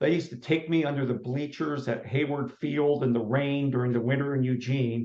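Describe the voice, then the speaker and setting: An ordinary speaking voice from a man, fairly high in pitch, with fairly even intonation, a fairly quick pace and hardly any pauses. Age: 60s. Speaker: running coach and author. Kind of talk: interview.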